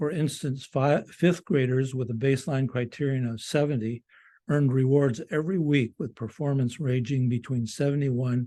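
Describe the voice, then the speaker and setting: Against a quiet background, a man with a dark, mellow tone speaks at medium pitch and moderate pace with ordinary pitch variation. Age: 80s+. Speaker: school project leader presenting a close-out report. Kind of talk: prepared presentation read from a script. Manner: formal; occasional halting restarts.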